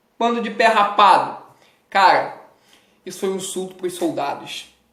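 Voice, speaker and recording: With audible room echo around him, a man talks at a moderate pace and ordinary pitch variation. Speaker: educational youtuber teaching history. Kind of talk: casual exam-prep lecture. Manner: animated.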